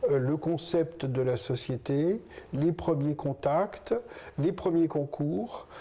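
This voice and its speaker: The speech moves at a very slow pace with very even loudness. Pitch varies in an ordinary way. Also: man, fairly high pitch for a man. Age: 60s. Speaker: business co-founder, hospital manager. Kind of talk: interview. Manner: hesitant, with fillers and restarts.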